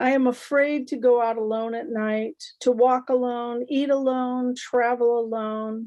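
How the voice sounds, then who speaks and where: In an American accent, the speaker talks at a fairly slow pace with hardly any pauses, in a dark, mellow tone. The intonation is monotone and flat, with a quiet background. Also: woman, high pitch for a woman. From Nebraska, US Midwest. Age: 60s. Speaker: poet and English teacher. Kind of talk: poetry reading.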